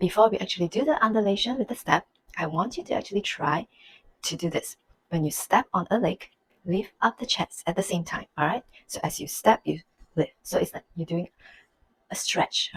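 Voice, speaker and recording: A soft-spoken woman whispers in a somewhat breathy voice at a fairly quick pace, with long, frequent pauses. The sound is dry and close, with no echo. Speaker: belly dance teacher. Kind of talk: dance tutorial instruction. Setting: home. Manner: soft, almost whispering.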